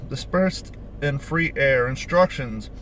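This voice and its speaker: The sound is dry with no echo as a man talks at a moderate pace over light background noise. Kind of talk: casual vlog chat. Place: car. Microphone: phone near.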